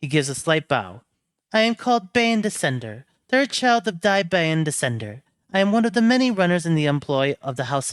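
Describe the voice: Against a quiet background, the plain reading aloud moves with lively intonation.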